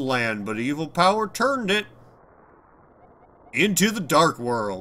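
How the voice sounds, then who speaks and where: A man in a put-on character voice. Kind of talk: grand, storytelling. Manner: annoying.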